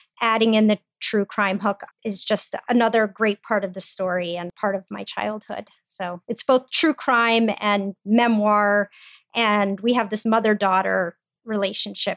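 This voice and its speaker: In an American accent, a woman with an ordinary speaking voice talks at a fairly slow pace, her medium pitch and fairly even intonation captured in a dry, close sound with no echo. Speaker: podcast host and daughter. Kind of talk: interview conversation.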